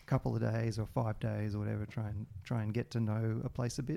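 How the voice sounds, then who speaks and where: A man with an Australian accent at a fairly quick pace, dark, mellow tone, very clean recording with a silent background. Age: 40s. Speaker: video game programmer and musician. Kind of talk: casual interview.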